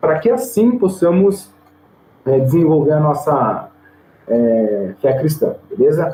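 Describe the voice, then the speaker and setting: The man's pitch swings very widely while his loudness stays very even. He talks at a very slow pace with long, frequent pauses. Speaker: theology teacher. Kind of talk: online lecture. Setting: recorded online video class. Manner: casual, filler-heavy (tá, né, é).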